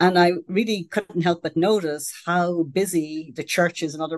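A woman speaks with an Irish accent in a very deep, low voice. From Ireland. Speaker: sociology professor. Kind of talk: interview.

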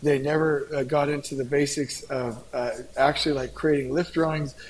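With noticeable background noise behind him, a man in an American accent talks at a fairly high pitch. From Southern California. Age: 40s. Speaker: construction company founder and author. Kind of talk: podcast interview. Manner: animated.

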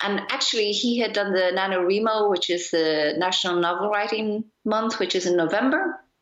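A woman with an Irish accent at a medium pitch and moderate pace, with ordinary pitch variation, hardly any pauses and very even loudness. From Ireland. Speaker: magazine editor and publisher. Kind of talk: casual chat. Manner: halting, with frequent repetitions.

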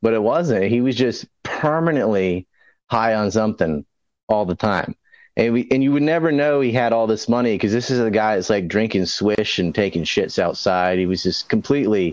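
With a plain, everyday voice, a man of medium pitch speaks at a moderate pace with lively intonation and very even loudness over a quiet background. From US South, North Carolina Outer Banks (Hatteras Island). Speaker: conspiracy commentator. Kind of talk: casual chat.

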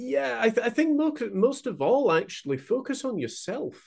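A man with a West Yorkshire accent, very wide pitch swings, and a quiet background. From northern England (Huddersfield, West Yorkshire). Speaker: painter and mental health mentor. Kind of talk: interview conversation.

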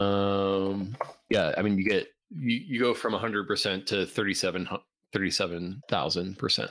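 A man talks in an unremarkable speaking voice, fairly low in pitch. Loudness stays very even, with ordinary pitch variation at a moderate pace. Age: 30s. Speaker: software engineer and crypto entrepreneur. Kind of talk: casual interview.

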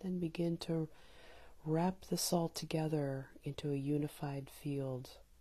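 At a fairly slow pace, a woman with a very deep, low pitch speaks in a calm tone with fairly even intonation. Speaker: meditation guide. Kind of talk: guided meditation. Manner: calm with long pauses.

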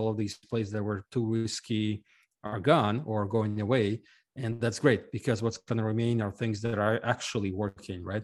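Flat, monotone male speech delivered at a moderate pace. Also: quiet background. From Ukraine. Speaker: fintech company CEO. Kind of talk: interview.

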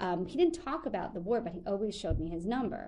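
Speaking with an American accent, a woman has a dark, mellow tone and ordinary pitch variation. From Long Island, New York. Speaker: journalist and museum storyteller. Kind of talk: casual chat.

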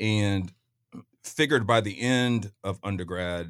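In an ordinary speaking voice, a man speaks with an American accent and a fairly low pitch. His pitch variation is ordinary, and the recording is very clean with a silent background. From Kansas City, Missouri, US Midwest. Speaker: lawyer and real estate developer. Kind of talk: casual chat. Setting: studio.

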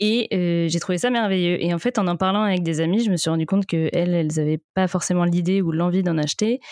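A woman's fairly low voice at a very fast pace with fairly even intonation, dry and close with no echo. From Brittany, France (Vannes). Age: 20s. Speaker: entrepreneur, sex toy brand founder. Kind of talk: casual interview.

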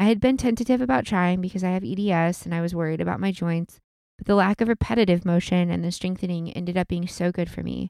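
Talking at a very fast pace, a woman has a fairly low pitch, a dark, mellow tone and ordinary pitch variation, on a very clean recording with a silent background. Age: 30s. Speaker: podcast co-host. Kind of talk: casual chat; reading aloud.

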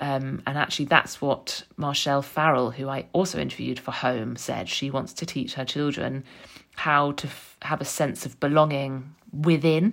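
A woman's very deep, low voice in a London accent, with vocal fry, fairly even intonation and a moderate pace. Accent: southern English (London). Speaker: podcast host, author and journalist. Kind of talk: personal monologue. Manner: reflective.

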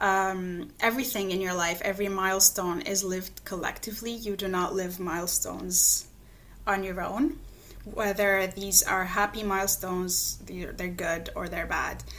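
The speaker has an Arabic accent and keeps a moderate pace. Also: woman, medium pitch for a woman, fairly even intonation. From Lebanon, Palestinian refugee camp in Beirut. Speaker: geography researcher. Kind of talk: interview.

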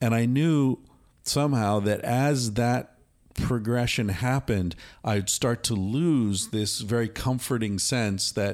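In a very clean recording with a silent background, a man talks at a fairly slow pace with an American accent. He has a normal speaking voice at medium pitch, with ordinary pitch variation. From United States. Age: 50s. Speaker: author and psychologist. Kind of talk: casual conversation. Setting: recorded at a retreat center in Costa Rica.

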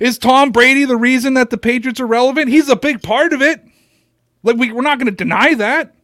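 A man speaks at an extremely high pitch in a bright, sharp tone. He sounds animated and keeps a fairly quick pace. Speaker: sports podcast host. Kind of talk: casual chat; sales pitch.

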